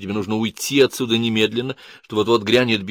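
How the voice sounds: The clip carries a natural reading voice with fairly even intonation.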